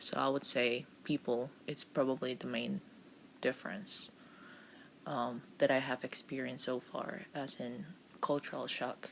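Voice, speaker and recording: Vocal fry runs through this voice as it moves at a fairly slow pace. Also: woman, very deep, low pitch for a woman, ordinary pitch variation. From Costa Rica. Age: 20s. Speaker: volunteer. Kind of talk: casual chat.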